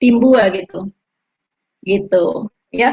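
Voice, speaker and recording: A woman speaks with a Minangkabau accent. Her voice is somewhat breathy. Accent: Minang. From West Sumatra, Payakumbuh (Minang). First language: Minangkabau (speaking Indonesian). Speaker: religious convert giving testimony. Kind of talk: video call interview.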